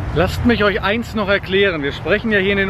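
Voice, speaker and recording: Over noticeable background noise, a man with a high-pitched voice speaks in a dry sound with no echo. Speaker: car vlogger. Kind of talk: casual vlog chat. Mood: cheerful, joking. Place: street. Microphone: phone near.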